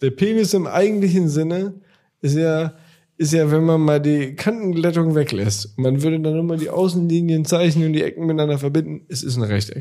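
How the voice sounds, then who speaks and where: At a fairly quick pace, a man with a fairly high pitch speaks in a dark, mellow tone with ordinary pitch variation. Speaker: podcast co-host. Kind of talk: casual chat.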